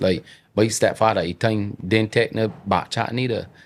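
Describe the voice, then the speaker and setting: A man with a strong Bajan accent speaks at a fairly low pitch. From Barbados. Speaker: entrepreneur. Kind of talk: casual chat.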